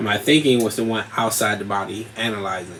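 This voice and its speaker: A man's intonation stays fairly even as noticeable noise runs behind him. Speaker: podcast host. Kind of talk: casual monologue.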